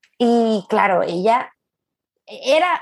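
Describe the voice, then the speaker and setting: Her tone is animated, in a Venezuelan accent. The woman speaks at a fairly high pitch. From Venezuela, Caracas. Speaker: gastronomy academy director, food journalist. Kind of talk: casual interview.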